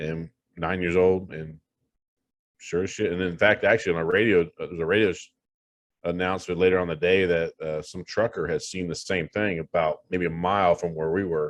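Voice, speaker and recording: In a very deep, low voice with monotone, flat intonation, a man with an American accent speaks at a moderate pace with long, frequent pauses. The sound is dry and close with no echo, over a quiet background. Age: 50s. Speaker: paranormal investigator. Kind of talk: casual chat.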